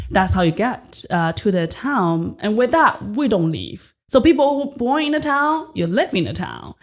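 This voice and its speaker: Energetic and with vocal fry, a woman speaks with a Chinese accent, her pitch swinging very widely and hardly any pauses between words. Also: fairly high pitch for a woman, moderate pace. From rural China. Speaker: entrepreneur and podcast host. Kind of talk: interview.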